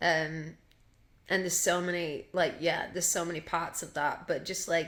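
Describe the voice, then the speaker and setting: A woman in a Yorkshire accent at a moderate pace. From Yorkshire, England. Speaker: singer. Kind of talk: casual chat. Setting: podcast interview.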